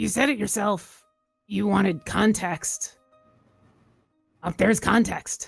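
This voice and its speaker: A raspy put-on character voice that sounds female, at a medium pitch for a woman, moves at a fairly slow pace with long, frequent pauses and faint music in the background. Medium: actual play.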